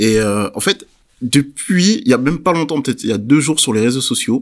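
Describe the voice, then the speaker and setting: A man's fairly high voice, a normal speaking voice, at a fairly quick pace, in a very clean recording with a silent background. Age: 20s. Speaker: podcast host. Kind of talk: casual discussion.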